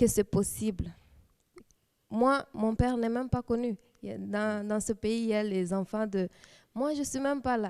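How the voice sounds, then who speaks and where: The woman's voice sits fairly high, with fairly even intonation at a fairly slow pace. Long, frequent pauses break up a dry, close sound with no echo. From DR Congo, Kisangani. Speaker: church youth leader, lawyer. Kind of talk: testimony. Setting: TV studio. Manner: halting.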